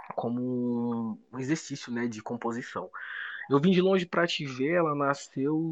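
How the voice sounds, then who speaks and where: Medium pitch, moderate pace and ordinary pitch variation from a man, in an ordinary speaking voice. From Brazil, Federal District. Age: 20s. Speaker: rapper. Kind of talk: casual chat.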